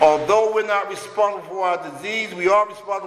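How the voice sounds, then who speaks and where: A man talks at a fairly quick clip in a high voice. Noticeable noise sits in the background. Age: 60s. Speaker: recovering addict sharing at a recovery meeting. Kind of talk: recovery meeting share.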